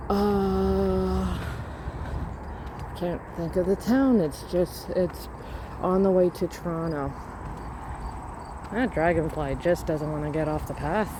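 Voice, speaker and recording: The speech is soft-spoken and very slow, broken by long, frequent pauses. Noticeable background noise runs underneath. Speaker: walking vlogger. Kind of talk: casual walking vlog narration. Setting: outdoors on a riverside path. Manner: soft-spoken, quiet. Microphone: voice may be too quiet.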